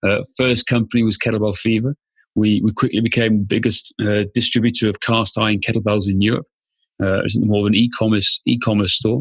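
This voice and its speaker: A man with a Welsh accent talks fairly quickly in a fairly low pitch, his intonation monotone and flat. His loudness stays very even, and the sound is dry and close with no echo. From Wales, rural Machynlleth area. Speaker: fitness business founder, former police officer. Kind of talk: podcast interview.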